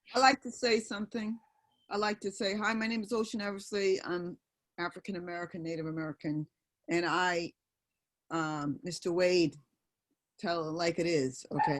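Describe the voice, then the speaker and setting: A woman with a New York accent speaks at a moderate pace and a fairly low pitch, with long, frequent pauses, on a very clean recording with a silent background and a dry, close sound with no echo. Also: ordinary pitch variation. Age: 60s. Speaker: audience member. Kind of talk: panel discussion.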